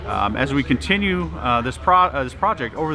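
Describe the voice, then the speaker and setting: Faint music plays in the background. The speech comes at a very fast pace. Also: man. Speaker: presenter. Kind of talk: interview answer. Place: hall.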